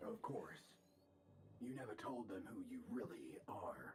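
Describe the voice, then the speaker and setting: Raspy and fairly slow, a put-on character voice comes through light background noise. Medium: video game.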